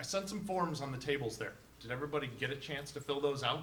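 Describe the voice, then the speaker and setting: Amid noticeable background noise and audible room echo, a man talks at a fairly quick pace with a fairly high pitch and ordinary pitch variation. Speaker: digital marketing presenter. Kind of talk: interactive presentation. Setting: live event with audience. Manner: loud.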